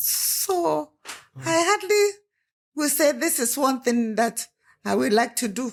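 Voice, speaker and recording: A woman in a Nigerian accent, high-pitched, at a very slow pace, with very wide pitch swings and long, frequent pauses. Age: 80s+. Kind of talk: interview answer.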